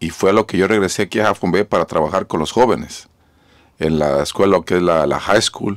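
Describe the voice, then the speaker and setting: A man at a moderate pace, fairly low in pitch with ordinary pitch variation, against a quiet background. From Mexico, Jalisco; raised in California from age 13. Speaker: mayor. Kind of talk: radio interview. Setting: mobile studio. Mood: earnest, grave at times. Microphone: studio mic.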